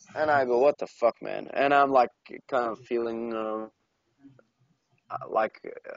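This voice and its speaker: A man speaks at a moderate pace. He has a non-native accent. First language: not English. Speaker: podcast co-host. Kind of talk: casual chat. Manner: halting, many fillers and restarts.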